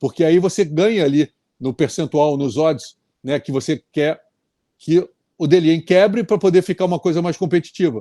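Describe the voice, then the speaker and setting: Recorded with dry, close sound and no echo, a man speaks at high pitch in a dark, mellow tone. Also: quiet background. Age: 60s. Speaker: tennis commentator. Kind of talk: casual chat.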